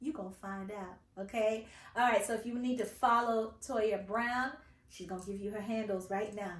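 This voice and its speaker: With audible room echo, a woman speaks at a moderate pace in a fairly high, somewhat breathy voice, her intonation fairly even but her loudness swinging widely. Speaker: podcast host. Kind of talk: casual interview chat.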